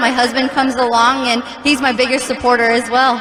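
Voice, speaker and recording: A woman's high-pitched voice at a fairly quick pace, with audible room echo and noticeable background noise. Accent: American. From Texas, El Paso. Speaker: monster truck driver. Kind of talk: interview. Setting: stadium with audience.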